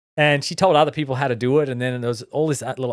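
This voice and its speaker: In a very clean recording with a silent background, a man with an Australian accent speaks very fast at a medium pitch with ordinary pitch variation. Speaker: tech entrepreneur, company founder. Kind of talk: podcast interview. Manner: frequent fillers and restarts.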